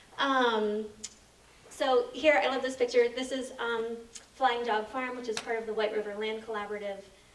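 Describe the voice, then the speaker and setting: With audible room echo and noticeable background noise, a woman speaks in a fairly even intonation. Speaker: co-op policy and advocacy staff. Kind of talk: presentation at annual meeting. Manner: fast; many filler ums.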